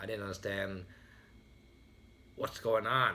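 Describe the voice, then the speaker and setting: Speaking with a Vietnamese accent, a man has a fairly low pitch and a bright, sharp tone. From Vietnam, raised in US from age ten. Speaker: motivational speaker. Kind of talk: motivational speech.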